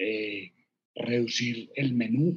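A man is speaking. He has a Medellín accent. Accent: Medellín (paisa). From Colombia, Medellín. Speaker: entrepreneur, restaurant co-founder. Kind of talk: interview.

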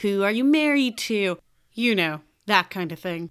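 A woman speaks at a moderate pace with an American accent, in a very clean recording with a silent background. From Chicago, US Midwest. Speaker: podcast host, creative coach. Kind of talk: solo podcast monologue. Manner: animated.

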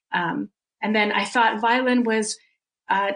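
The speech moves at a fairly slow pace with vocal fry. Intonation stays fairly even. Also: woman. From Russia (Soviet Union). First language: Russian. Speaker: flautist and music teacher. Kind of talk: interview.

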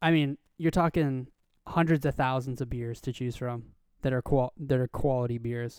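A man's unremarkable speaking voice at medium pitch and moderate pace, fairly even in intonation, in a very clean recording with a silent background and a dry, close sound with no echo. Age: 20s. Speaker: fishing podcast co-host. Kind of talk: casual chat.

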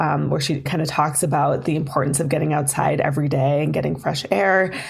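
A woman speaks at a very deep, low pitch in an American accent. Room echo is audible, along with noticeable background noise. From Minnesota, Duluth. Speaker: festival development director. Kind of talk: interview. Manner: hesitant, many fillers.

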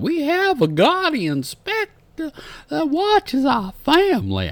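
A man's put-on character voice, extremely high in pitch, delivered at a fairly slow pace. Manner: mock-dramatic.

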